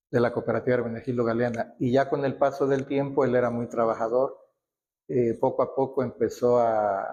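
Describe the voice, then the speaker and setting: Fairly quick, flat, monotone delivery from a man of medium pitch with a dark, mellow tone. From Mexico, Acapulco, Guerrero. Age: 70s. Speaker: local elder sharing history. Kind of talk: oral history interview. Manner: halting, with fillers and restarts.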